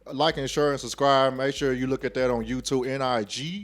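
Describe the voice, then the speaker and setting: A man with a Texas accent at medium pitch and a moderate pace, on a very clean recording with a silent background. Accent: Southern US, Texas. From Texas, Dallas. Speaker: podcaster. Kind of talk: interview. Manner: loud, projecting.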